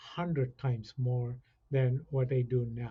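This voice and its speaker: A somewhat breathy man's voice of medium pitch, dark and mellow in tone, very slow and flat in a monotone. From India. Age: 60s. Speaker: college chief information officer. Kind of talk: podcast interview.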